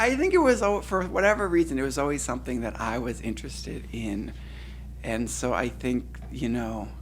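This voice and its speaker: A man at a moderate pace in an American accent, with audible room echo. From Cleveland, Ohio, US Midwest. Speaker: poet. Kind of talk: audience Q&A after a poetry reading. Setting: reading event with audience. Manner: halting, many repetitions.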